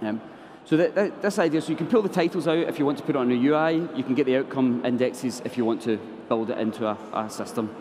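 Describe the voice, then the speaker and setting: Very fast speech from a man with a Scottish accent, over noticeable background noise. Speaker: software developer. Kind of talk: conference tech talk. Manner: halting, many fillers.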